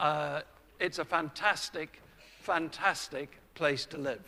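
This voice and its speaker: Here a man speaks with a bright, sharp tone. His pace is fairly slow. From Scotland. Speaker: orthodontist and lecturer. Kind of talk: conference lecture.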